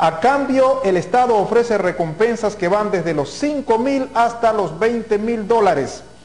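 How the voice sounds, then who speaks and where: A man speaks at a fairly slow pace. His pitch is high for a man, with ordinary variation. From Ecuador. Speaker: news anchor. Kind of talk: news reading. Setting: TV studio.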